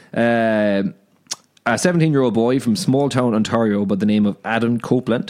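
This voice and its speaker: This man speaks with an Irish accent. His pitch is medium, with ordinary variation. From Ireland. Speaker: podcast co-host. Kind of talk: casual chat.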